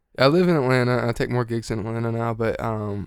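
An American accent marks this man's medium-pitched voice. He speaks at a fairly quick pace with ordinary pitch variation. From Georgia, US. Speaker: jazz guitarist. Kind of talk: casual interview.

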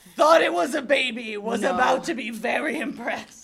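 The voice sits at a fairly high pitch and moves with lively intonation. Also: moderate pace. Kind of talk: improv comedy. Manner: pompous, formal, condescending.

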